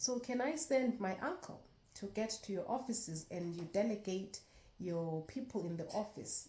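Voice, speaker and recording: This woman's voice has a dark, mellow tone and sounds somewhat breathy. Her intonation is lively and her pace moderate. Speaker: vlogger. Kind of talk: story time vlog.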